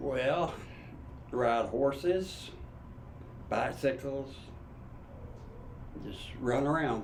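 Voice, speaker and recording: In an Appalachian accent, a man talks at a very slow pace with long, frequent pauses. Audible room echo surrounds his voice. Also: medium pitch for a man, ordinary pitch variation. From Eastern Kentucky. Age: 70s. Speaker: grandfather interviewee. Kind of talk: interview.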